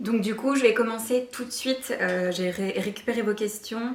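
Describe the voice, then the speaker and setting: Shaky speech from a woman at a fairly slow pace, ordinary pitch variation, audible room echo and noticeable background noise. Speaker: lifestyle YouTuber. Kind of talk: casual vlog Q&A. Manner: hesitant, many fillers; trembling voice.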